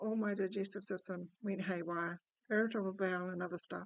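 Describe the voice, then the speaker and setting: A woman's medium-pitched voice, moderate pace and fairly even intonation. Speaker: spiritual teacher / personal-story narrator. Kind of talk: personal story told to camera, reflective talk. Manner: quiet at times, soft-spoken.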